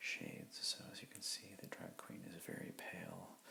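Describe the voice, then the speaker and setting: Noticeable background noise surrounds a man as he whispers. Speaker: comic book artist. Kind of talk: ASMR drawing tutorial, rambling narration. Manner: soft-spoken.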